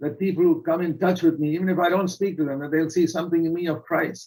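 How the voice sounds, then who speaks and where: This man has a high-pitched voice with ordinary pitch variation. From India. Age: 80s+. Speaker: preacher. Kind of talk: sermon.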